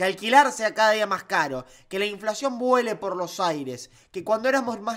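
A man talks at a moderate pace in an animated tone. The background is quiet. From Argentina. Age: 20s. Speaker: political YouTuber; political commentator, YouTuber. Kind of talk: opinion commentary. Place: home room. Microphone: studio mic.

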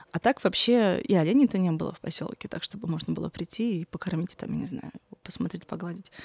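At a very fast pace, a woman speaks with ordinary pitch variation in a dry sound with no echo. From Magadan region, Russian Far East. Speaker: artist; guest. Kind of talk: interview conversation. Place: studio. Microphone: studio mic.

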